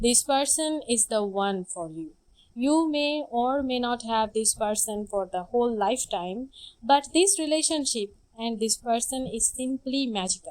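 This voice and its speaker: Lively intonation, a non-native accent and a fairly slow pace. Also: woman, high pitch for a woman. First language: not English. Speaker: tarot reader. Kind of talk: tarot reading.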